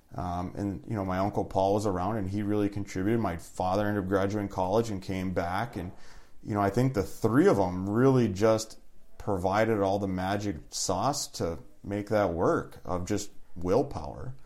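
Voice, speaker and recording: Speaking at a moderate pace, a man with an Upper Peninsula Michigan accent uses a fairly low pitch with ordinary pitch variation. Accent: Upper Midwest (Yooper). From Upper Peninsula of Michigan, Iron Mountain. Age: 40s. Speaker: family business owner. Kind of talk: casual interview.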